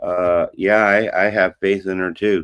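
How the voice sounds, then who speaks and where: Fairly slow, fairly even delivery from a man with fairly low pitch and an unremarkable speaking voice, in a dry, close sound with no echo. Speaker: interview show host. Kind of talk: casual interview talk.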